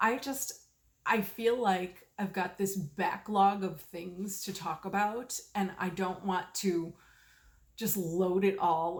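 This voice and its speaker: Very slow, somewhat breathy speech from a woman. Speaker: knitting video podcaster. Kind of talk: casual chat. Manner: slow, fishing for words; halting, many fillers.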